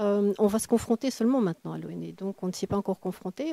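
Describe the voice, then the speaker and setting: Recorded dry and close with no echo, a woman speaks in a medium pitch with a dark, mellow tone. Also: very clean recording, silent background. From Belgium. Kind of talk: interview answer.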